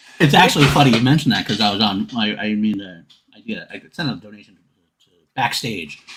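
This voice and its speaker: Speaking at a fairly quick pace with a New York accent, a man at a medium pitch makes very wide pitch swings and big swings in loudness. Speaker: podcast host. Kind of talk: casual chat. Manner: fast.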